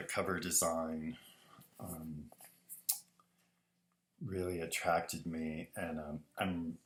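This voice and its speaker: A man speaks at a very slow pace, with light background noise. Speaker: design teacher. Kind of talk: tutorial talk to students. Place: home room. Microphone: webcam.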